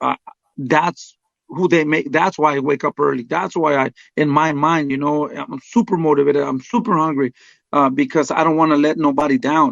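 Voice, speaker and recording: Speaking with a Spanish accent, a man uses a fairly high pitch and ordinary pitch variation. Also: moderate pace. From Mexico. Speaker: boxing trainer. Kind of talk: interview. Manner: halting, many fillers.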